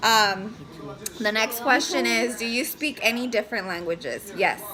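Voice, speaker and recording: A woman with a Spanish accent speaks at a moderate pace in a fairly high voice. Her pitch varies in an ordinary way, and there is noticeable background noise. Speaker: family vlogger, mother. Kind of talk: casual chat. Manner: hesitant, many fillers.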